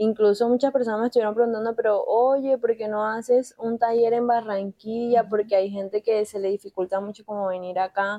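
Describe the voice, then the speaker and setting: A woman's fairly high voice with a dark, mellow tone, a monotone, flat delivery at a fairly quick pace, hardly any pauses, and a dry, close sound with no echo. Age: 20s. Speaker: art therapy workshop leader. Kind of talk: casual interview.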